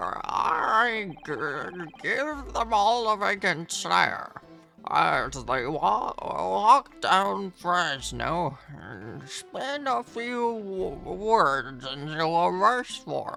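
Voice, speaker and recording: A female-sounding voice in a put-on character voice speaks at a very slow pace and middle pitch, with clear music in the background. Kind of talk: comic silly voice. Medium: game stream. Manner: pushy, wheedling salesman patter.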